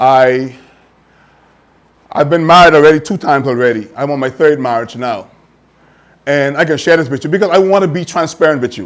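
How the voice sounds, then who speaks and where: A man's fairly high voice at a fairly quick pace, with ordinary pitch variation and long, frequent pauses. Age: 40s. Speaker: talk show host. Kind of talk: testimony. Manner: halting.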